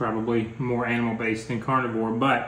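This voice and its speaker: A man speaks at a moderate pace amid light background noise and audible room echo. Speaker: couple vlogger. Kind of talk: casual vlog chat. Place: home room. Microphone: phone near.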